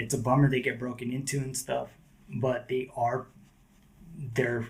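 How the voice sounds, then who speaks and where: A man with an American accent speaks at a medium pitch and a moderate pace, somewhat breathy, in a monotone, flat intonation. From Southern California. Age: 40s. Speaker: skateboarder. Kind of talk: casual chat.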